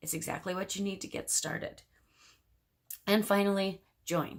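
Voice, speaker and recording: In a very clean recording with a silent background, a woman talks at a medium pitch with vocal fry. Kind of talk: tutorial. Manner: fast.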